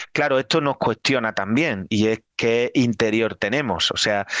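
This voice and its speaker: Dry and close with no echo, a man's medium-pitched voice moves at a fairly slow pace with fairly even intonation. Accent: slight Extremaduran. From Extremadura, Spain (Badajoz). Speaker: Jesuit priest, lecturer. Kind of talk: lecture.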